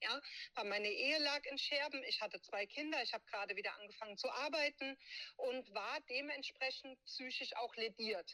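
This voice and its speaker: Projecting her voice in a raised, bright, sharp tone, a woman speaks at a high pitch and moderate pace with lively intonation, in a dry, close sound with no echo. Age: 30s. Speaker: abuse survivor and advocate. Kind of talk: interview testimony.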